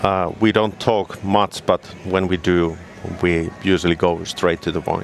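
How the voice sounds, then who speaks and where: A man with a Finnish accent, a very deep, low pitch and monotone, flat intonation, at a fairly slow pace amid noticeable background noise. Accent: Finnish, rolling R's. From Finland. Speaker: snowmobile product specialist. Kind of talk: casual interview chat. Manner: halting, with fillers.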